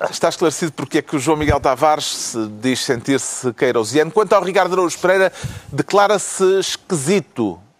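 A man talks at a fairly quick pace and fairly high pitch with lively intonation. The sound is dry and close with no echo, though noticeable background noise is present. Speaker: political talk show host. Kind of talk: panel discussion moderation.

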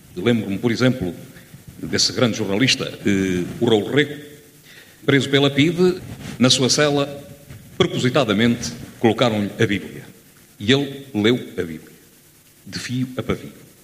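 With noticeable background noise behind him, a man of medium pitch talks at a fairly slow pace, using lively intonation and long, frequent pauses. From Lamego, northern Portugal. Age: 50s. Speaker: audience member. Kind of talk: audience contribution. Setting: theatre with audience.

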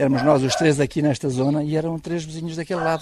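A man speaks at a fairly quick pace with a fairly high pitch and monotone, flat intonation. Noticeable background noise runs underneath. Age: 60s. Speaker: villager. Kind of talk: testimony.

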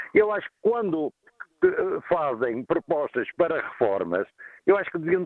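A man talks in a high voice. His pace is moderate. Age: 50s. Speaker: caller, truck driver. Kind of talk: radio phone-in. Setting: phone call while traveling.

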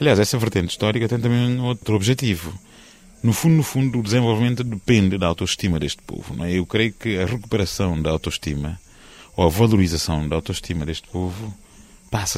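This man talks at a very fast pace, his pitch varying in an ordinary way. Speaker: historian. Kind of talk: interview. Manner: formal.

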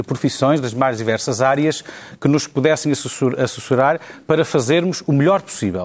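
Speaking in a normal speaking voice, a man keeps a medium pitch with ordinary pitch variation. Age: 40s. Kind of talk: panel debate.

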